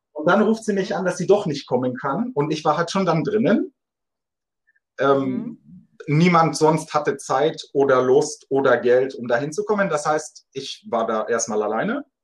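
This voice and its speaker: A man's ordinary speaking voice, fairly high in pitch, with lively intonation and a moderate pace. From Munich, Germany. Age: 20s. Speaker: dating podcast guest. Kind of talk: casual interview.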